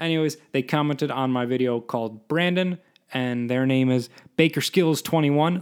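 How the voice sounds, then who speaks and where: The voice moves at a fairly quick pace with ordinary pitch variation. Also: man. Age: 20s. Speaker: podcast host, cartoonist. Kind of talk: casual solo monologue. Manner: rambling, halting with many restarts.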